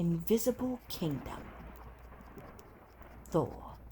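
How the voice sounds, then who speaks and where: Soft-spoken, gentle tone at a very slow pace. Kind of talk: ASMR comic review, casual talk to camera.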